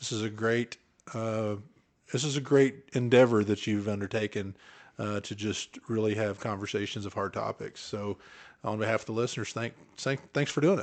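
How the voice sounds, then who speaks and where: A man with an Oklahoma accent, his pitch fairly low, over a quiet background. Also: fairly even intonation, moderate pace. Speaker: podcast co-host. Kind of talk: casual chat.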